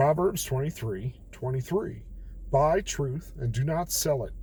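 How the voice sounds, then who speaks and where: A man talks at a fairly slow pace in a dark, mellow tone. His voice is somewhat breathy. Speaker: daily bible reading vlogger. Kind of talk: casual bible reflection monologue. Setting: in a car. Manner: talking a bit low.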